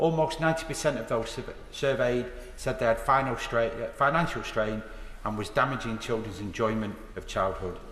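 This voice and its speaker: A man with a Lancashire accent talks at medium pitch with ordinary pitch variation, and the room echo is audible. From northern England, Blackpool. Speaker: member of parliament. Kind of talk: parliamentary speech. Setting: House of Commons chamber. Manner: formal.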